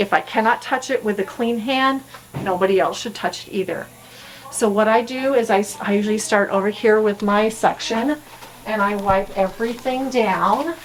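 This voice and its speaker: Over noticeable background noise, a woman speaks at a moderate pace in a fairly high voice with ordinary pitch variation. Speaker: dental hygienist. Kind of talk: tutorial.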